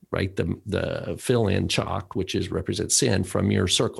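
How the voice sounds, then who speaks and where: A man with vocal fry over a quiet background. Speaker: podcast co-host. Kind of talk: casual chat.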